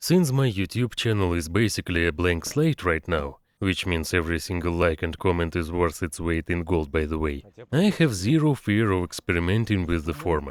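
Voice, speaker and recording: At a moderate pace and with ordinary pitch variation, a man with a Russian accent speaks in a very deep, low voice, in a very clean recording with a silent background. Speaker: engineer and vlogger. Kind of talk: vlog narration.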